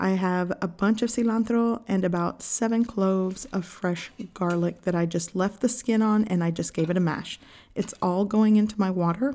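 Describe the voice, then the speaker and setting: A woman talks at a moderate pace with a dark, mellow tone. Her intonation is fairly even and her loudness very even. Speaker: home cook channel host. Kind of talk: cooking tutorial narration. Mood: warm, friendly. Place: kitchen.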